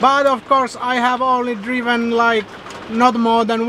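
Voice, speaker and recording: A man's raised, projected voice at a very slow pace, dry with no echo, over light background noise. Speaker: travel vlogger. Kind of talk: casual vlog chat. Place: car. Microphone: phone near.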